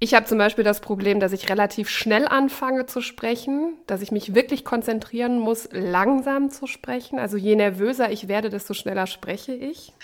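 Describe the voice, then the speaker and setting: Noticeable background noise sits behind a woman speaking at a fairly high pitch with ordinary pitch variation. She keeps a moderate pace with hardly any pauses. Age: 30s. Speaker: radio host and co-host. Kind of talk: casual chat.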